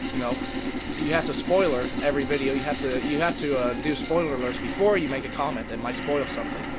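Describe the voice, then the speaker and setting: Music plays in the background as a man talks very fast at a fairly high pitch, with audible room echo. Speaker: video game commentator. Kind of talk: let's play commentary. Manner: halting, stuttering; deadpan.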